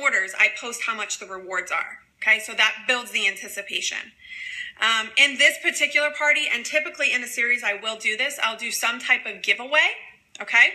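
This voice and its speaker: Amid noticeable background noise, a woman talks at a fairly quick pace in a high voice with ordinary pitch variation. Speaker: direct sales presenter. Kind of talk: training livestream. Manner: fast.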